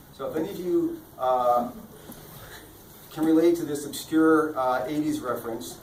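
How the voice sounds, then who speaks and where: A man's fairly high voice with ordinary pitch variation, audible room echo and noticeable background noise. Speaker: author and lawyer giving book talk. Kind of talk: public talk at book fair. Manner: fast.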